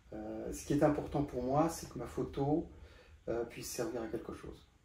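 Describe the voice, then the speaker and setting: Audible room echo follows a man as he speaks at a fairly quick pace. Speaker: photographer. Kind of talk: interview. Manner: halting.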